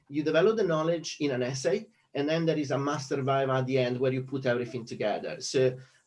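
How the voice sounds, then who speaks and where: The voice is somewhat breathy and very fast. Its pitch varies in an ordinary way. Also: man. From Italy. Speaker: economics lecturer. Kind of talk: conference talk. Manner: hesitant with many fillers.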